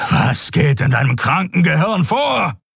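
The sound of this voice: In a put-on character voice, a man growls and bellows at a fairly high pitch, with big pitch swings, vocal fry, and a slightly husky edge. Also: fairly slow pace.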